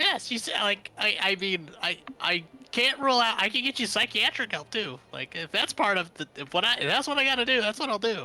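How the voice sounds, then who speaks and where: In a put-on character voice, the speaker talks at a fairly quick pace and a fairly high pitch. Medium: actual play. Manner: stammering, rambling, flustered.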